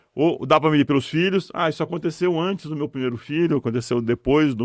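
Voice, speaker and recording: A man speaks at a fairly high pitch with ordinary pitch variation. His pace is fairly quick. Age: 60s. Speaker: retired business executive, mentor. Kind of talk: podcast interview. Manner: halting, repeats words.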